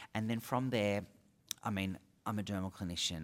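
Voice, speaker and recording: Ordinary pitch variation marks this man's speech, delivered in an Australian accent. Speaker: dermal clinician. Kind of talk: casual interview. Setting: at a conference.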